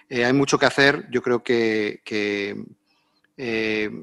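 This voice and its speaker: A man speaks with a bright, sharp tone and ordinary pitch variation. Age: 50s. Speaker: sports official and diplomat. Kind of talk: live panel discussion.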